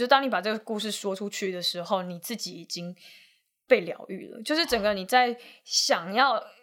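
A woman's normal speaking voice at medium pitch, fairly quick in pace, with ordinary pitch variation. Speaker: film director. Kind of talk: casual chat.

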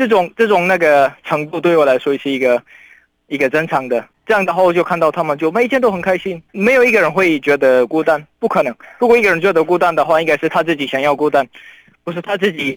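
Very fast and lively in intonation, a man speaks at a high pitch. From Iraqi Kurdistan. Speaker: writer, interview guest. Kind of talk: interview. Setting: remote call. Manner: halting with many fillers.

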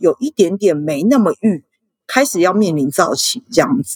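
A woman talks at a moderate pace in a somewhat breathy voice with a medium pitch and very wide pitch swings. The sound is dry and close, with no echo. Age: 30s. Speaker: former sex worker and volunteer activist. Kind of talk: interview.

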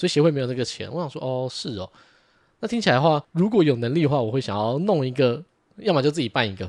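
This man talks very fast with a Taiwanese accent, his pitch fairly high. His tone is animated and his intonation lively. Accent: Taiwanese Mandarin. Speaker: podcast co-host. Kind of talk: casual chat. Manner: animated, frequent laughter.

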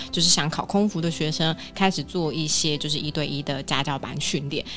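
A woman is heard with noticeable background noise behind her. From Taiwan. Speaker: former flight attendant. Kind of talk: casual interview chat.

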